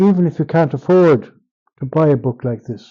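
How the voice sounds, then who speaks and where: In an Irish accent, a man with a dark, mellow tone talks at a moderate pace with ordinary pitch variation. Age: 70s. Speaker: writer and translator. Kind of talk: interview. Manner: halting.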